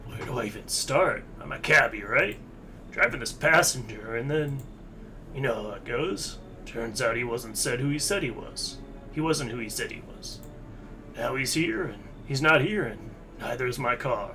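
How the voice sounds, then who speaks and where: A man uses a put-on character voice at medium pitch and a moderate pace. He leaves long, frequent pauses, with clear background noise. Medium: game stream. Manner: casual slangy, swears, says pal.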